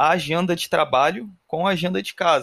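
On a very clean recording with a silent background and a dry, close sound free of echo, a man with a high voice speaks at a moderate pace. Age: 30s. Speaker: podcast host, production engineer. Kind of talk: casual chat.

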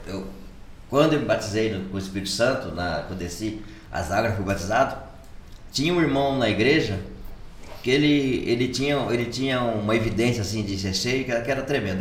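At a moderate pace with long, frequent pauses, a man talks at medium pitch with ordinary pitch variation, amid audible room echo and noticeable background noise. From São Paulo state interior, Brazil (Piraju). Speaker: church leader, pastor. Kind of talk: casual chat, testimony.

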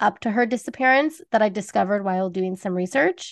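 A woman speaks with an American accent in a plain, everyday voice. Her pace is fairly quick, her pitch variation ordinary, and the background quiet. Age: 30s. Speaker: true crime podcast host. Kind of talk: true crime storytelling.

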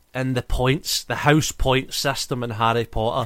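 A man's medium-pitched voice with a playful, bright, sharp tone. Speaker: podcast host. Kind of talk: casual chat. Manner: joking, playful.

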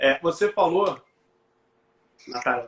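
Here a man talks in a normal speaking voice. His pace is moderate and his pitch variation ordinary. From Brazil, Rio de Janeiro. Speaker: teacher and live show host. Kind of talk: live stream interview.

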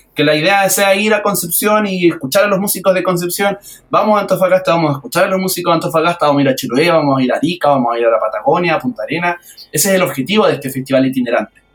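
At a very fast pace, a man speaks at a high pitch with lively intonation. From Chile, Valparaíso region. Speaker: accordion festival organizer and musician. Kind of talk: radio interview.

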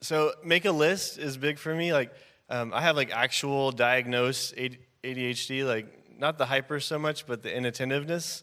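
A man with an American accent speaks at a moderate pace, his pitch fairly high and his intonation fairly even. His tone is bright and sharp, on a very clean recording with a silent background. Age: 30s. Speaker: pastor. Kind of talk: casual chat.

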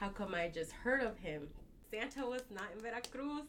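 Noticeable background noise behind a woman's lively intonation. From Texas, Dallas area (born Mexico, moved at 4). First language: Spanish. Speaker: tailor. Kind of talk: casual interview.

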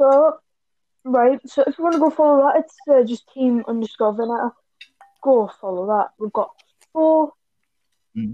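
A high-pitched woman at a moderate pace, with ordinary pitch variation, big swings in loudness and long, frequent pauses. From Sunderland, northeast England. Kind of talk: casual chat. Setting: video call.

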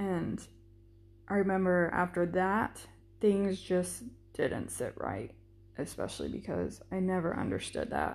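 A woman talks at a moderate pace. Behind her, music is playing. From Florida. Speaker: soldier, podcast co-host. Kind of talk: personal storytelling monologue.

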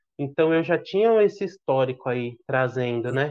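At a fairly slow pace, a man with a normal speaking voice talks at a medium pitch. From Brazil, São Paulo. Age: 30s. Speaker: father sharing life story. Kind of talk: podcast interview, personal testimony.

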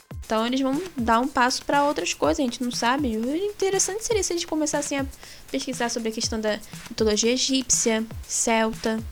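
A woman's high-pitched, fairly quick speech in a Brazilian accent, with lively intonation over noticeable background noise. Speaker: gaming podcast co-host. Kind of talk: casual chat.

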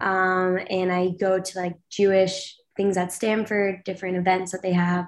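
A woman's plain, everyday voice at a moderate pace. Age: 20s. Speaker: university student, reality show cast member. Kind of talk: interview.

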